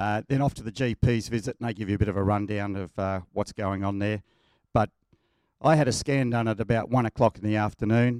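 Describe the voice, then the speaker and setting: Fairly low-pitched, a man talks in an Australian accent at a fairly quick pace with fairly even intonation. The sound is dry and close with no echo. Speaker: church member sharing testimony. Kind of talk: testimony. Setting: church.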